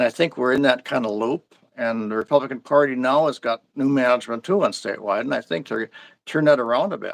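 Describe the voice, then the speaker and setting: Very fast and in an Upper Midwest accent, a man speaks at a medium pitch with ordinary pitch variation. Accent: Upper Midwest American. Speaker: local party official. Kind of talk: interview. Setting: live stream. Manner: halting, frequent restarts.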